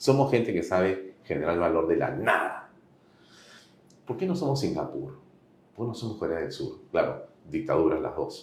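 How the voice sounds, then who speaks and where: Audible room echo surrounds a man speaking at a moderate pace. He leaves long, frequent pauses. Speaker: interviewer, political commentator. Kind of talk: political interview.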